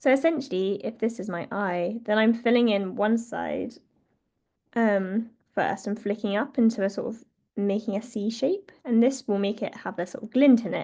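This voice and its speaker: At a moderate pace, a woman with a fairly high voice and a dark, mellow tone speaks with ordinary pitch variation. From northern England, North Yorkshire. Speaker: wildlife artist. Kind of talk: online drawing tutorial. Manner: casual, hesitant with many fillers.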